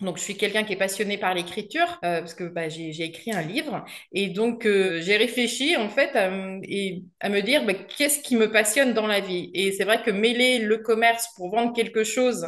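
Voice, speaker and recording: A woman talks at a moderate pace with hardly any pauses. Her medium pitch shows ordinary variation. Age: 40s. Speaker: garden centre salesperson retraining as copywriter. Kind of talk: interview testimony. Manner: hesitant, many fillers.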